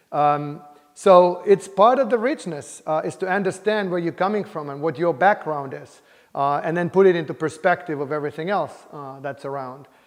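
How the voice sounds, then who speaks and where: A man with a Finnish accent talks at a moderate pace in a high pitch, with big swings in loudness. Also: ordinary pitch variation. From Finland, Helsinki. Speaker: computer science professor. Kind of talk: interview. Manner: hesitant, many fillers.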